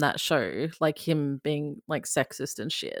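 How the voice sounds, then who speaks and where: On a very clean recording with a silent background, a woman with an Australian accent talks at a moderate pace. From Queensland, Australia. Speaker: satirist and TV recapper.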